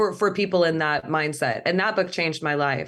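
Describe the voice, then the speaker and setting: A woman with an American accent has an ordinary speaking voice. She speaks at a moderate pace with fairly even intonation. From California, Central Valley (near Fresno). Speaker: cellist and film director. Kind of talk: interview.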